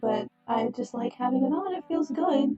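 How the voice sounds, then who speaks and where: A soft-spoken, fairly slow voice with ordinary pitch variation over music in the background. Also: woman. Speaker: streamer. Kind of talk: casual chat. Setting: live stream.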